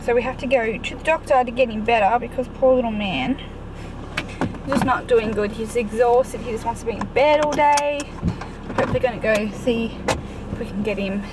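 A woman's fairly quick speech with ordinary pitch variation, dry with no echo, over noticeable background noise. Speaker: parent vlogger. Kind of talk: casual vlog chat. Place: car. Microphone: phone near.

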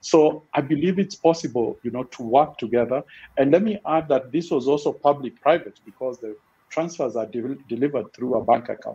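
The man's tone is dark and mellow. He talks fairly quickly. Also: ordinary pitch variation. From Kenya. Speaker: financial inclusion expert; panelist. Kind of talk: panel discussion. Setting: online webinar. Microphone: video call.

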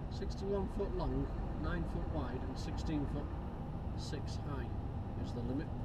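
The speech moves at a fairly slow pace over loud background noise. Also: man. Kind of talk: casual driving commentary. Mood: mildly annoyed at traffic. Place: car. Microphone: camera far.

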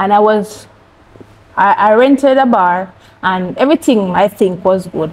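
A Jamaican accent comes through at a fairly slow pace, with long, frequent pauses and ordinary pitch variation. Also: woman. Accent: Jamaican English with patois. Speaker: cancer survivor; interview guest. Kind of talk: testimony. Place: studio.

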